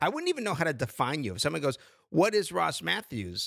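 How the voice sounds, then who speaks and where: A man's voice comes through fairly high in pitch, with a bright, sharp tone. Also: very clean recording, silent background. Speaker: podcast host, writer and producer.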